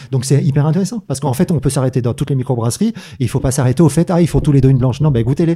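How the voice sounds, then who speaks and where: Talking at a very fast pace, a man has a fairly high pitch with ordinary pitch variation. His tone is dark and mellow, and somewhat breathy. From southern France, Manosque. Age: 50s. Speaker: microbrewer. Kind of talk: casual chat.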